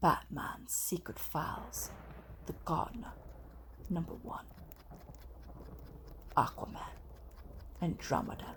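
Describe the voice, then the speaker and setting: A whispering voice moves at a very slow pace with long, frequent pauses. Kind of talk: ASMR comic review, casual talk to camera. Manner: soft-spoken, gentle.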